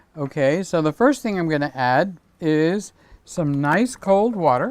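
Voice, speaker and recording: Lively intonation from a man. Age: 60s. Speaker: cooking channel host. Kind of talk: live cooking stream, casual chat. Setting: home kitchen, live stream.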